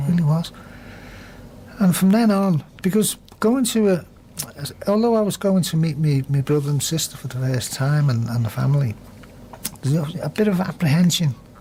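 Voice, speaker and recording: The speech has long, frequent pauses, with noticeable background noise. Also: moderate pace. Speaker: radio interview guest telling a personal story. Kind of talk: radio interview answer.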